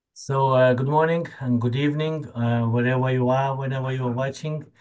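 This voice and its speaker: A man speaks at a medium pitch with a Lithuanian accent against a quiet background. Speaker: podcast host. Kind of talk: casual interview. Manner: halting.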